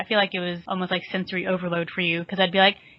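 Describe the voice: A woman talks very fast at a fairly low pitch. Her voice barely moves up or down.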